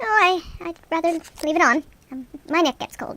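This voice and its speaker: A put-on character voice from a woman, squeaky and extremely high, at a moderate pace with ordinary pitch variation. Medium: solo performance. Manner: stammering, fussy.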